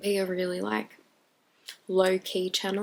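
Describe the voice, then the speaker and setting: A woman is speaking here. Her pace is fairly slow. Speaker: book vlogger. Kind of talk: casual vlog monologue. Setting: home video recording with ring light. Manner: mumbling; halting.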